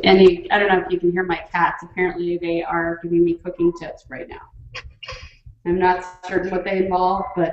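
A woman speaking fairly quickly in a monotone, flat intonation, with audible room echo and light background noise. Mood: light, joking. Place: kitchen.

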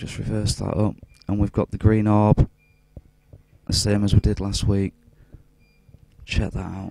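A man talks in a flat monotone, with a dry sound and no echo. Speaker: UFO video blogger. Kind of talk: casual video commentary. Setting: hospital room. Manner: keeping voice down.

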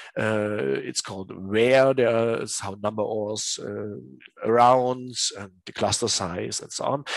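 Very slowly, a man speaks in a German accent, his loudness swinging widely. The sound is dry with no echo over a quiet background. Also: medium pitch for a man, ordinary pitch variation. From Germany, Dresden; Germany. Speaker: teacher. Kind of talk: tutorial. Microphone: headset.

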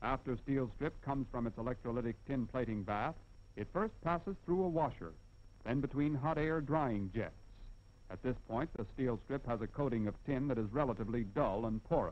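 A man's confident voice at medium pitch, with ordinary pitch variation and a moderate pace. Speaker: film narrator. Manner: formal, measured, brisk and declarative, with confident, even pacing; didactic, explaining step by step with emphasis on key points. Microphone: old recording.

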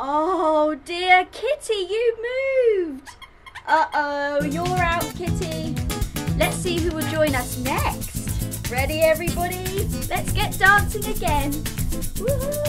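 A woman speaks at a very slow pace. Loud music plays behind her. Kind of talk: children's show presenting. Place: home room.

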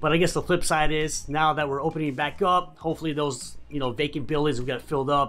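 A man talks fairly quickly while faint music sounds behind him. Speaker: real estate vlogger. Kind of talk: casual vlog chat.

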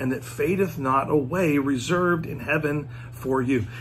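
Light background noise behind a man's ordinary pitch variation. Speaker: speaker. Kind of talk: devotional talk. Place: home room. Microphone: phone near.

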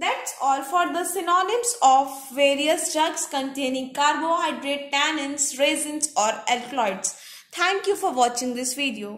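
Lively in intonation and high in pitch, a woman speaks at a fairly slow pace with hardly any pauses. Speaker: pharmacy exam tutor. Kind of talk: lecture. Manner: repetitive dictation pace.

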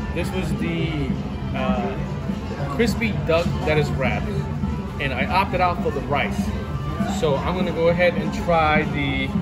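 Loud music plays in the background behind a man. He talks at a moderate pace with long, frequent pauses. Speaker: vlogger. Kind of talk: casual vlog chat. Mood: excited, upbeat. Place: cafe. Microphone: phone near.

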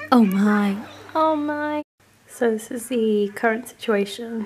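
With a British accent, a woman speaks at a fairly high pitch with ordinary pitch variation, some light background noise behind her. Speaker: vlogger. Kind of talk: casual vlog. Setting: home. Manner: animated; excitable.

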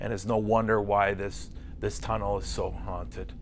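Light background noise sits behind the speech. The man keeps a moderate pace. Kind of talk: interview answer. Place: studio.

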